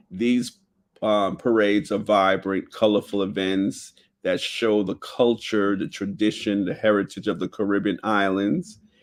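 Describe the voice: At a fairly slow pace, a man talks with a fairly low pitch and fairly even intonation.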